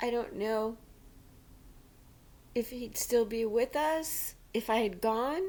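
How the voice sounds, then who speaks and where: Speaking very slowly, a woman uses a fairly high pitch. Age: 60s. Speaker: widow sharing faith story. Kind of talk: personal testimony.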